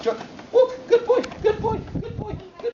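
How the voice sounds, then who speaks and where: This squeaky, put-on character voice sits at an extremely high pitch. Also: moderate pace. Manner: excited, encouraging.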